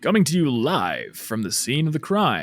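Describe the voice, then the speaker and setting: A man puts on a character voice, fairly high in pitch, with very wide pitch swings. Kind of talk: enunciated, presenter-like.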